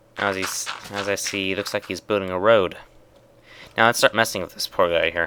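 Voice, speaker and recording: A man talks with monotone, flat intonation. He leaves long, frequent pauses. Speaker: gaming video creator. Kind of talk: tutorial. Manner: fast; halting.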